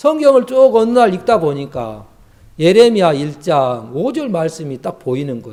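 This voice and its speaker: A man with a high-pitched voice and a dark, mellow tone speaks at a moderate pace, his pitch swinging very widely and his loudness rising and falling sharply. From rural Korea. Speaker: missionary preacher. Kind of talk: sermon. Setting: youth camp class. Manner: not very fluent.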